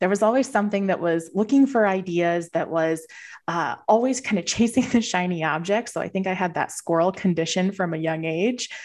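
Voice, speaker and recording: An unremarkable speaking voice from a woman with an American accent, medium pitch, ordinary pitch variation and a fairly quick pace, against a quiet background. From Southern Minnesota. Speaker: financial advisor. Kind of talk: interview.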